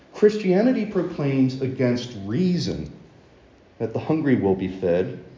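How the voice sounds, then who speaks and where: With an American accent, the speaker moves very slowly through very wide pitch swings, with audible room echo around the voice. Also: man. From US, Baltimore. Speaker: preacher. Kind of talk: sermon.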